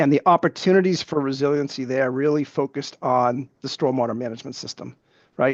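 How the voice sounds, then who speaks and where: Against a quiet background, a man speaks fairly quickly at a medium pitch with ordinary variation, in a dry, close sound with no echo. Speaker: utility company witness. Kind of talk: evidentiary hearing testimony. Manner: fast.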